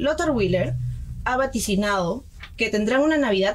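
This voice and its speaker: A woman talks at a moderate pace with an ordinary speaking voice. Her pitch is fairly high, and her intonation is lively. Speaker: student radio host, news reader. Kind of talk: news reading and radio hosting. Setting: radio studio.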